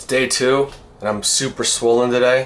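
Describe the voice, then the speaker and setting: A man over light background noise. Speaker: vlogger. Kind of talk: casual vlog chat. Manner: swollen-cheeked, sore, weak speech. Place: kitchen. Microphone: phone near.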